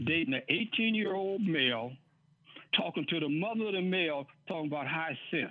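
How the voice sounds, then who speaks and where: At a fairly quick pace, a man with a high voice speaks with lively intonation. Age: 80s+. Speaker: community show host. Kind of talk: casual chat.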